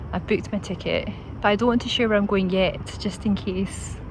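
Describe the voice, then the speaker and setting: With a Scottish accent, a woman talks at a moderate pace over noticeable background noise. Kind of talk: casual talk to camera. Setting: outdoors. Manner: gentle, calm.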